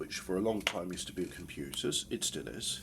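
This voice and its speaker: Very deep and low, a man's voice comes through with vocal fry. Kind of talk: casual talk to camera. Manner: hesitant, rambling.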